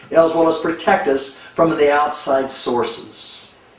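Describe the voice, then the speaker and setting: A male voice, fairly slow, amid audible room echo and noticeable background noise. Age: 70s. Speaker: medical doctor promoting a supplement. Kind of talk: product testimonial.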